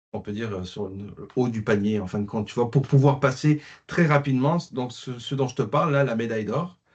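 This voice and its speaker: Speaking at a moderate pace, a man has a somewhat breathy voice. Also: medium pitch for a man, ordinary pitch variation, quiet background. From France, working-class mining town. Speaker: classical guitarist. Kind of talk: interview. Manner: hesitant, many fillers.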